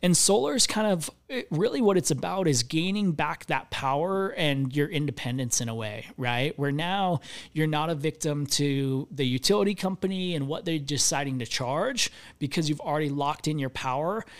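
With lively intonation and a fairly high pitch, a man talks at a moderate pace in an ordinary speaking voice, captured on a very clean recording with a silent background. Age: 30s. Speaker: solar company CEO. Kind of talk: interview.

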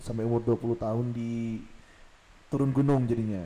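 A man speaks at a fairly slow pace in a medium pitch with fairly even intonation. His tone is dark and mellow. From Samarinda, East Kalimantan, Indonesia. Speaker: podcast co-host. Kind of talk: casual chat.

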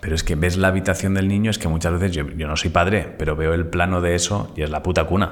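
Speech comes at a very fast pace with hardly any pauses and fairly even intonation. Noticeable background noise and audible room echo are present. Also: man, very deep, low pitch for a man. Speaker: podcast co-host. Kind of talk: casual chat.

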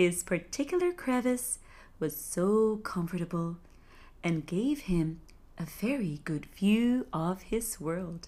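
A dark, mellow, somewhat breathy voice, calm and soothing, at a very slow pace with lively intonation, on a very clean recording with a silent background. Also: woman, medium pitch for a woman. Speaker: sleep storyteller. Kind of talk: bedtime fairy-tale narration, read aloud. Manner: slow, soothing, gentle storytelling pace; calm, hushed and dreamy, with soft descriptive emphasis.

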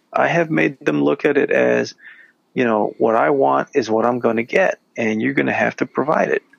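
Here a man speaks at a moderate pace. His loudness stays very even. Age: 40s. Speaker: podcast co-host. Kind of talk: casual chat.

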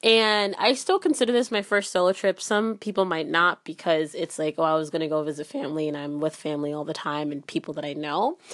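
In an ordinary speaking voice, a woman with a fairly low pitch talks at a fairly quick pace with hardly any pauses. Her intonation is lively, and the background is quiet. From Ghana, moved to US at seven. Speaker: podcast host, university student. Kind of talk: solo podcast monologue. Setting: recording while traveling in Germany. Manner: casual, with many fillers.

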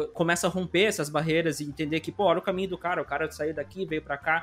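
The recording is very clean, with a silent background. A man speaks in an ordinary speaking voice with a fairly high pitch. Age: 20s. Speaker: podcast host. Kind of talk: casual interview chat.

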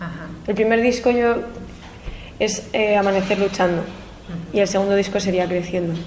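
Intonation stays fairly even at a moderate pace. Noticeable background noise and audible room echo are present. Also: woman, medium pitch for a woman. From Spain, Madrid. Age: 20s. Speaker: singer-songwriter. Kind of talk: interview.

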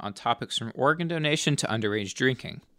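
Very rapid male speech with ordinary pitch movement. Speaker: student news anchor. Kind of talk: formal newsreading of campus and state legislative headlines. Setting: studio. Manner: measured, even-paced delivery of dense bill numbers and figures.

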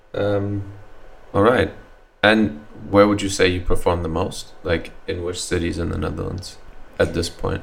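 A man at a moderate pace, with long, frequent pauses and noticeable background noise. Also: fairly low pitch for a man, fairly even intonation. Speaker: podcast host. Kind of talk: casual interview chat. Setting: studio.

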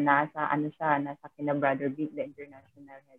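At a moderate pace, a woman speaks. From Philippines, Mindanao (Butuan, Visayan speaker). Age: 30s. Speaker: overseas worker, nanny and financial coach. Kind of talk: casual interview. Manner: halting, frequent laughter.

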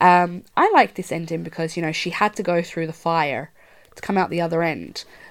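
With a western Irish accent, a woman speaks fairly quickly at a fairly low pitch and with fairly even intonation, on a very clean recording with a silent background. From rural west of Ireland. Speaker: podcast host and horror film writer. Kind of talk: casual chat.

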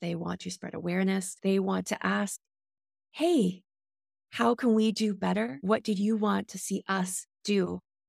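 A woman with a Canadian accent at a fairly slow pace, on a very clean recording with a silent background. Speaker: patient advisory board member. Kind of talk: panel discussion.

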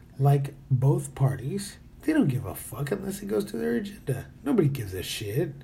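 Audible room echo surrounds a man whose fairly high, dark, mellow voice shows vocal fry and very wide pitch swings at a moderate pace. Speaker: podcaster. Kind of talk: casual monologue. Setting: hotel room.

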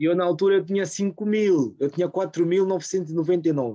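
A man's dark, mellow voice keeps a fairly even intonation in a dry, close recording with no echo. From Portugal, Rio de Mouro (Lisbon area). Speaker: small business owner. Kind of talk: casual chat.

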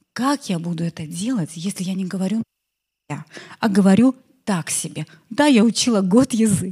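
A woman's dark, mellow, somewhat breathy voice at medium pitch, with lively intonation. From Belarus. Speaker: entrepreneur and marketer. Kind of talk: conference talk. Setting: stage with audience.

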